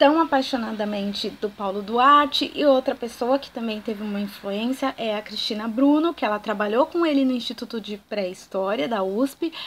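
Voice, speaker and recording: A woman's fairly high-pitched voice at a moderate pace, with ordinary pitch variation and hardly any pauses. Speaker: archaeologist and educational YouTuber. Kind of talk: educational talk to camera. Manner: animated.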